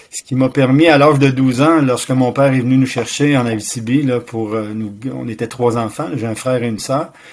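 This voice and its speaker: A man with a medium pitch speaks at a moderate pace while noticeable noise fills the background. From Quebec City. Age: 60s. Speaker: martial arts master and retired teacher. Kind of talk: interview.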